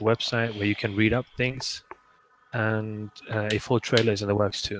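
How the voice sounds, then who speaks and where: Speaking with a German accent, a man uses a fairly low pitch and monotone, flat intonation. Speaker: game modder, stream co-host. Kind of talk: casual live stream chat. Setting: live stream.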